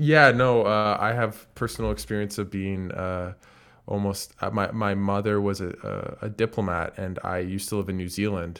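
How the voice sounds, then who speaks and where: A man speaks at a moderate pace with a fairly low pitch. He has an unremarkable speaking voice and fairly even intonation. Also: very clean recording, silent background. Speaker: basketball analyst and podcast host. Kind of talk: casual interview chat.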